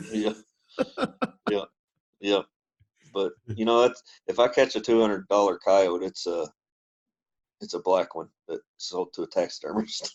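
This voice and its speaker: Recorded dry and close with no echo against a quiet background, a man with a Kentucky accent speaks at a fairly slow pace, leaving long, frequent pauses. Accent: Kentucky Southern US. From Kentucky, US. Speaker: trapper. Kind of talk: casual interview chat. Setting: internet call. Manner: hesitant, many fillers.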